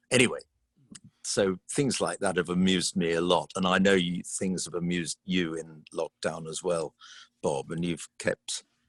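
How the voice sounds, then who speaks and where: A man's very deep, low voice with a southern English accent, fairly even intonation and a moderate pace, in a dry, close sound with no echo. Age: 70s. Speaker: choral conductor. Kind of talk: casual interview.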